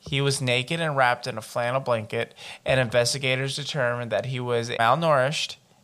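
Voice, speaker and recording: Bright and sharp in tone, a man's medium-pitched voice runs at a fairly quick pace with fairly even intonation, on a very clean recording with a silent background. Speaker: podcast host. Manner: reads report text steadily and evenly, then breaks into profane, exasperated commentary.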